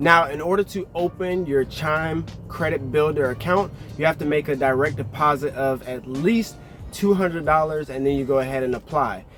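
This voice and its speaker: A man's fairly high voice, with ordinary pitch variation, moves at a moderate pace while music plays in the background. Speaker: personal finance vlogger. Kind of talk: tutorial.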